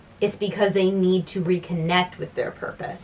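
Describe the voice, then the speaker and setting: The woman's voice has a medium pitch. Background noise is noticeable throughout. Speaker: writing vlogger. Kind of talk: casual vlog talk to camera. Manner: fast.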